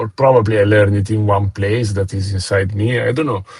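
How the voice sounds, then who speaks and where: Intonation stays fairly even as the words come at a fairly quick pace. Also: man. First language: not English. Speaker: trader. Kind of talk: interview. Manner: halting.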